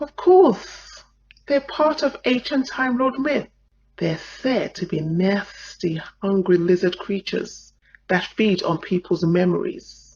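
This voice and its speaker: A female-sounding, put-on character voice speaks at a medium pitch with a hissing quality. The pace is fairly slow. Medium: audio drama.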